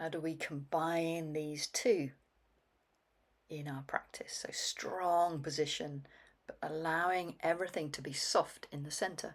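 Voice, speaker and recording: A woman with an ordinary speaking voice talks at a fairly slow pace and a fairly low pitch. Her loudness swings widely. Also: fairly even intonation. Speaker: qigong instructor. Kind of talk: guided movement practice. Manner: calm, paced with breath.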